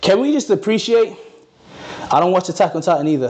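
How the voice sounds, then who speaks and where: A man races along at a very fast pace while noticeable background noise plays. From Norway, Ghanaian family. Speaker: fitness content creator. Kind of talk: livestream Q&A. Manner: casual, relaxed.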